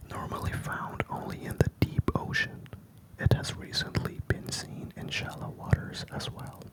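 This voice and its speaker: A man whispers at a fairly slow pace, with big swings in loudness. Noticeable background noise is present. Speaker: ASMR creator. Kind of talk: ASMR card show-and-tell. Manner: whispered.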